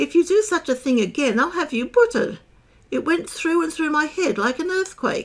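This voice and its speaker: Speaking at a moderate pace, a woman puts on a squeaky character voice pitched extremely high, with very wide pitch swings. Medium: read story. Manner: impatient, fussy.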